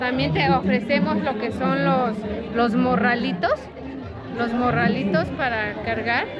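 Clear crowd noise and clear background noise sit behind a woman's fairly high voice. She speaks at a fairly slow pace with ordinary pitch variation.

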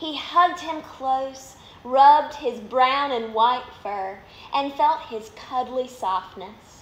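In a Southern US accent, a woman with a high pitch and a warm, gentle tone speaks at a very slow pace with ordinary pitch variation, in audible room echo. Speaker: minor league baseball team media relations manager reading stories. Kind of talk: bedtime story reading aloud to children, live online. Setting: live video on social media, at home. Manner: warm, gentle, animated storyteller pace; friendly, upbeat. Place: home room. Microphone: phone near.

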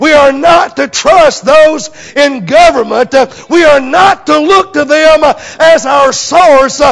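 A man with an American accent is shouting at a very slow pace. His pitch is extremely high, with ordinary variation. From United States. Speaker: preacher. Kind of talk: sermon. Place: church. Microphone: lapel.

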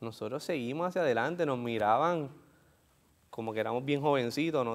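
In a Puerto Rican accent, a man speaks at a fairly quick pace. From Puerto Rico. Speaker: author and entrepreneur; interview guest. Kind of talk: interview. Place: studio. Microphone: lapel.

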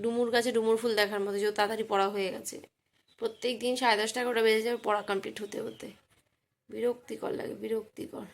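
Her fairly high voice stays flat and monotone while its loudness swings widely as this woman speaks. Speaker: vlogger. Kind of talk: casual vlog narration. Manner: stuttering.

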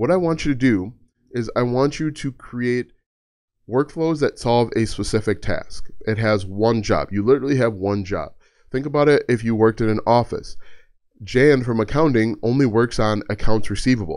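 A man at a moderate pace, with ordinary pitch variation, over a quiet background. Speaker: content creator explaining automation. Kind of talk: tutorial. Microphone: studio mic.

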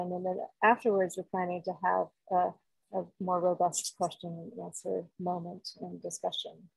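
The background is quiet. The sound is dry, with no echo. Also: woman. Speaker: webinar co-host. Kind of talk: meeting announcements. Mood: friendly, relaxed. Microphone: video call.

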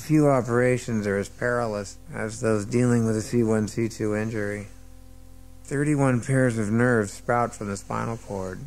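Faint music plays in the background as a man with an American accent talks at a moderate pace. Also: fairly even intonation. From United States. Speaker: actor. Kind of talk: audiobook narration. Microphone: old recording.

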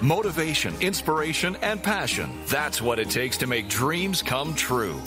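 Music plays in the background. Over it, a man speaks with a fairly high pitch. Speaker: show announcer. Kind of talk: radio show intro announcement.

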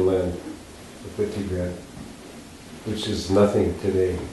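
This man's voice has a dark, mellow tone and barely moves in pitch as he talks at a fairly slow pace. Strong room echo surrounds it.

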